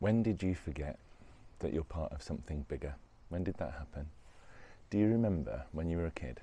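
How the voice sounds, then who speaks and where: A man's very deep, low, dark and mellow voice, somewhat breathy, with lively intonation, a fairly quick pace, and long, frequent pauses. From West Midlands, England. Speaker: spiritual self-help vlogger. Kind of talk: reflective monologue. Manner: casual, with hesitations.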